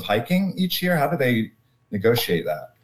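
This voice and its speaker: A man with an American accent talks with lively intonation and a somewhat breathy voice. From US South, North Carolina (Durham). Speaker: backpacker and theologian. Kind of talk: casual chat.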